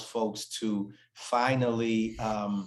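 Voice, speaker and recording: A man is speaking. He has an American accent. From Massachusetts, New Bedford. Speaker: author. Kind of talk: interview. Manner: halting, many repeated words.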